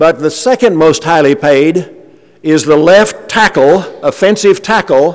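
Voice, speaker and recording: A high-pitched man's voice with ordinary pitch variation. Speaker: preacher. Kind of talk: sermon. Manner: halting.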